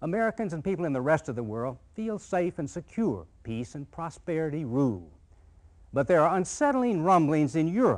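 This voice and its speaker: A man's fairly high voice at a moderate pace, with very wide pitch swings and a quiet background. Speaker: documentary narrator. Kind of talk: documentary narration. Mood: calm, authoritative. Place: studio.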